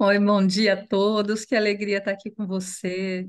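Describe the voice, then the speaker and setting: Against a quiet background, a woman speaks in an unremarkable speaking voice at a fairly high pitch. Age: 60s. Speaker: NGO executive director. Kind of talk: panel discussion.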